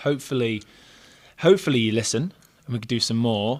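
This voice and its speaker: With an English accent and fairly even intonation, a man talks at a fairly quick pace in a very clean recording with a silent background. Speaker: gym coach and podcast co-host. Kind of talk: casual chat. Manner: stuttering at times.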